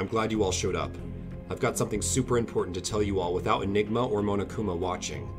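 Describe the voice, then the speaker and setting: A man puts on a soft-spoken, breathy character voice, fairly low in pitch, and talks at a very fast pace. Music plays in the background. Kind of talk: conspiratorial. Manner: whispering.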